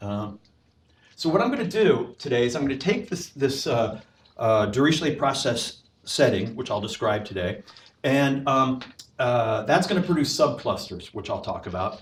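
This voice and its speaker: Loud and fairly high-pitched, a man's voice swings very widely in pitch. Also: moderate pace. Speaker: professor. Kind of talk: lecture. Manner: halting.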